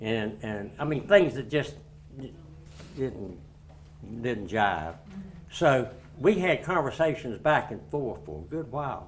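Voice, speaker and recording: A man with an eastern North Carolina accent talks at a very slow pace, his pitch swinging very widely through vocal fry and long, frequent pauses. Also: medium pitch for a man, big swings in loudness. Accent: Southern US, eastern North Carolina. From Greene County, North Carolina. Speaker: retired school principal. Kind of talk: historical society talk. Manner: conversational.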